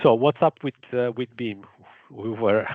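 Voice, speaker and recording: A man with an Italian accent talks at a moderate pace and medium pitch in a monotone, flat way. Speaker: engineer presenting a grid project. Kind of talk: webinar presentation. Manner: halting, many fillers.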